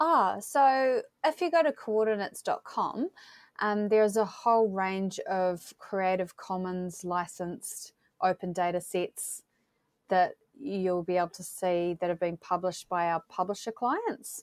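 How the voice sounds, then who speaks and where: Medium-pitched woman's voice with a New Zealand accent, fairly slow, in a dry, close sound with no echo. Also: ordinary pitch variation. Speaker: tech company representative, GIS professional. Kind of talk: interview.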